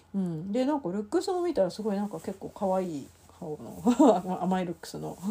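At a fairly quick pace, a woman speaks in a medium pitch with lively intonation and a dark, mellow, somewhat breathy tone. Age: 40s. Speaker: podcast host. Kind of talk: casual chat. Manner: many fillers and hesitations.

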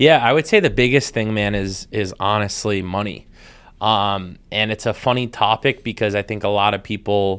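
A man speaks in an unremarkable speaking voice with an American accent, at a fairly quick pace and a fairly low pitch. His intonation stays fairly even, and the recording is very clean with a silent background. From Massachusetts (Weymouth, near Boston). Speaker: solar company founder. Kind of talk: casual interview chat.

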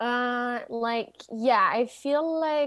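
With a Quebec French accent, a woman speaks at a fairly high pitch in a very clean recording with a silent background. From Quebec City. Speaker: singer-songwriter. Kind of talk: interview.

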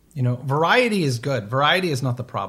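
Fairly quick, somewhat breathy speech from a man with a fairly high pitch, ordinary pitch variation and an American accent. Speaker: podcast co-host. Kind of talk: casual chat. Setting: remote recording.

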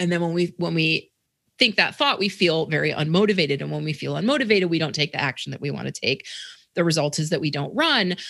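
Speaking at a very fast pace, a woman with a very deep, low pitch shows vocal fry and ordinary pitch variation. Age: 50s. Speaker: running and mindset coach. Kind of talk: interview.

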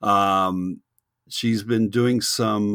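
A man speaks in a fairly low pitch with fairly even intonation. The recording is very clean and dry, with a close sound, no echo and a silent background. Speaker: podcast host. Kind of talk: casual interview. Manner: halting, repeats words.

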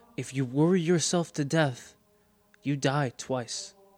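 Music plays in the background as a man speaks at a very slow pace. His pitch is fairly high, with ordinary pitch variation. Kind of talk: dramatic second-person fiction narration, scripted storytelling. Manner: hushed, suspenseful, slowly building tension with theatrical pauses.

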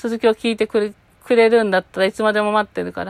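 This woman talks very fast at a medium pitch, her intonation monotone and flat. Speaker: podcaster. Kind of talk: casual solo chat. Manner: stuttering.

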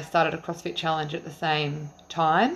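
At a moderate pace, a woman with a fairly low pitch talks in an ordinary speaking voice. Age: 30s. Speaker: teacher and mother. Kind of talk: casual interview.

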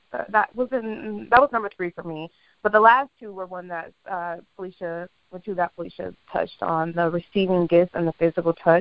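An unremarkable speaking voice moves at a fairly quick pace with ordinary pitch variation and big swings in loudness. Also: woman, medium pitch for a woman. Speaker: podcast co-host. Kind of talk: casual chat.

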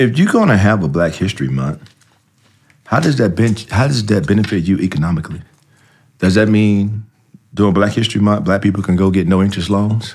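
Talking at a fairly quick pace, a man with a normal speaking voice keeps a fairly low pitch, ordinary pitch variation and very even loudness. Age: 40s. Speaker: former NFL player. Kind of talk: casual chat.

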